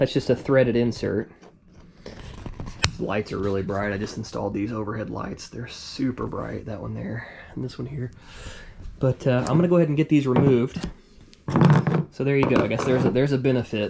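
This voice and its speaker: In an American accent, the speaker talks at a fairly quick pace with ordinary pitch variation and long, frequent pauses, over noticeable background noise. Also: man, medium pitch for a man. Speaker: fishing YouTuber. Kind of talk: tutorial. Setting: garage. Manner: fast.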